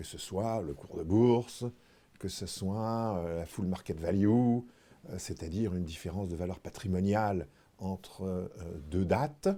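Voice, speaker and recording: A man's very deep, low voice, dark and mellow in tone, at a fairly slow pace. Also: ordinary pitch variation. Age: 60s. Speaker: retired insurance executive. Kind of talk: interview. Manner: hesitant, frequent fillers.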